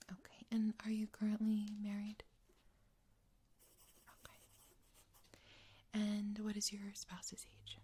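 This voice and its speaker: A soft-spoken woman talks in a dark, mellow, gentle tone, somewhat breathy and flat in a monotone, with long, frequent pauses. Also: medium pitch for a woman, fairly slow pace. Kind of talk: ASMR roleplay, psychological evaluation interview. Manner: soft-spoken, gentle.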